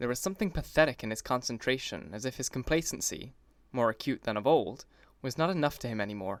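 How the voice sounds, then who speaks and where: A man with an American accent, medium pitch, lively intonation and a very fast pace, on a very clean recording with a silent background. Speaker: audiobook narrator. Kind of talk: audiobook narration.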